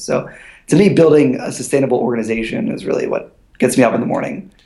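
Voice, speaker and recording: In an American accent, a man talks at a fairly quick pace in a medium pitch. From Pennsylvania, Bucks County near Philadelphia. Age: 20s. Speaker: entrepreneur. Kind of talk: interview. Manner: halting, many repeated words and fillers.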